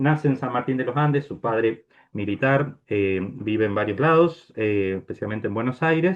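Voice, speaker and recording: A man speaks in a normal speaking voice at a medium pitch. His pace is moderate and his pitch variation ordinary. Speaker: priest giving a talk. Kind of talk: lecture. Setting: video call.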